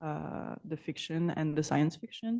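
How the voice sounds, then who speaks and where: In a dark, mellow tone and a fairly low pitch, a woman speaks at a very slow pace. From Belgium (Brussels). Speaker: artist and PhD researcher. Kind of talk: conference Q&A answer. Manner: halting.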